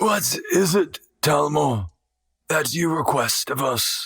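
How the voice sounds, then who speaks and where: Putting on a character voice, a man speaks raspily at a fairly slow pace with a fairly high pitch. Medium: actual play. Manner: solemn, measured.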